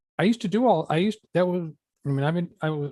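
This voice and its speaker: A man speaks with lively intonation in a somewhat breathy voice, the sound dry and close with no echo. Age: 60s. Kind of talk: casual chat.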